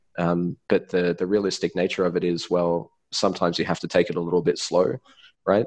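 Against a quiet background, a man with an Australian accent speaks fairly quickly in a very deep, low pitch with fairly even intonation. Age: 30s. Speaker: influencer manager. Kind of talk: interview. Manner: halting, many fillers and repeated words.

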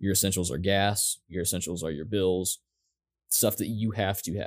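A man with a fairly low pitch speaks in a plain, everyday voice. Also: very clean recording, silent background. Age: 20s. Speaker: podcast co-host. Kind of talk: casual chat.

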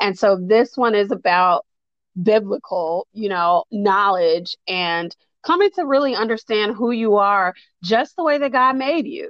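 A woman with an unremarkable speaking voice talks at a fairly slow pace with lively intonation. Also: fairly high pitch for a woman. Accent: American. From US Midwest, south side of Chicago. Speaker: licensed therapist. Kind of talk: casual interview chat.

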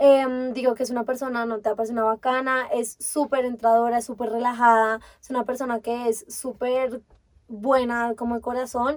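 Her pitch is high for a woman, and she speaks at a moderate pace. The intonation stays monotone and flat. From Colombia, Bogotá. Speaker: podcast co-host. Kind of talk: casual chat.

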